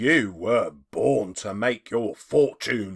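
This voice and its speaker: On a very clean recording with a silent background, a man puts on a growling character voice, fairly low in pitch and delivered at a very slow pace. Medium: read story.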